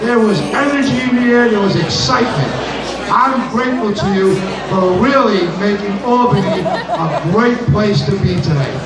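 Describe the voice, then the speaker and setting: Loud background noise and audible room echo surround a man's voice. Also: moderate pace. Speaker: state assemblyman. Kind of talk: rousing speech to a crowd. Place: hall. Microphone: pa.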